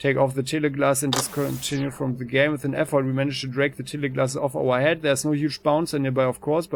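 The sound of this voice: An unforced reading voice moves along with fairly even intonation.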